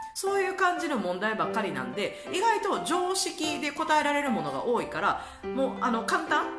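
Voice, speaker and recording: Clear music plays in the background. A woman speaks with a Kansai accent. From Kansai, Japan. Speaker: vlogger. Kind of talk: casual talk to camera. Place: home room. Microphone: phone near.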